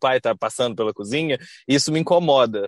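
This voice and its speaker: This very clean recording has a silent background and a dry, close sound with no echo. A man speaks at a moderate pace and medium pitch in a plain, everyday voice, with ordinary pitch variation. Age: 20s. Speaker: architect. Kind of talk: casual chat.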